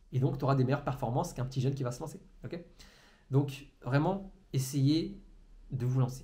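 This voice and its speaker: With long, frequent pauses and audible room echo, a man speaks in a somewhat breathy voice at a fairly high pitch with ordinary pitch variation. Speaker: entrepreneurship coach. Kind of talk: motivational monologue to camera. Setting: alone in a room facing a camera. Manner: fast; stumbles over words.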